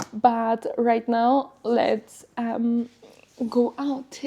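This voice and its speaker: With a Polish accent, a woman speaks in a dark, mellow, somewhat breathy tone with fairly even intonation. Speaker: lifestyle vlogger. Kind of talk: casual vlog talk. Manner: hesitant with filler words.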